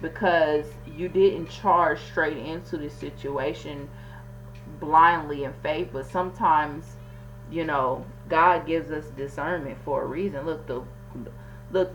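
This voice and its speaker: A woman mumbles at a fairly slow pace. Noticeable background noise and audible room echo surround her voice. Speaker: tarot reader. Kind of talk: tarot reading monologue. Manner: stuttering, mumbling over words; casual, conversational.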